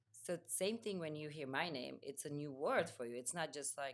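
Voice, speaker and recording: A woman talks at a fairly quick pace with a Czech accent. Her pitch is very deep and low. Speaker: home organizer. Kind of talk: casual chat.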